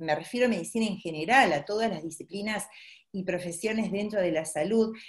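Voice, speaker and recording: The background stays quiet. Speaking here is a woman. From Uruguay. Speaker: pediatrician. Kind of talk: webinar presentation; lecture. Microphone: webcam.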